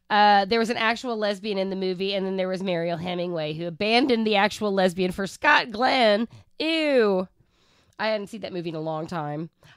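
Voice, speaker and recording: In a very clean recording with a silent background, a woman with an American accent speaks at a fairly quick pace in an ordinary speaking voice. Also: medium pitch for a woman, ordinary pitch variation. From Oklahoma. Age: 50s. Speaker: podcast co-host. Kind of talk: casual chat.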